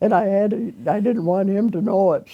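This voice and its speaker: A woman speaks with a Midwestern American accent. Her tone is dark and mellow, and her pace is moderate. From Rockford area, Michigan. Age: 80s+. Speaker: retired restaurant cook. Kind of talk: oral history interview answer.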